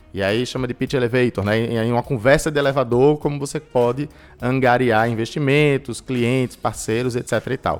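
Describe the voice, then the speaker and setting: At a moderate pace, a man with a medium pitch and fairly even intonation talks in a normal speaking voice. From Recife, Brazil. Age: 20s. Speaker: entrepreneurship and innovation specialist. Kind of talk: interview.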